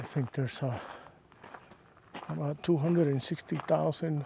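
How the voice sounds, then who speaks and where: A man speaks softly at a fairly high pitch. His pitch varies in an ordinary way. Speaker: hiking vlogger. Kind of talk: casual vlog monologue while hiking. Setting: outdoors on a desert trail. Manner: soft-spoken; quiet, unhurried with fillers.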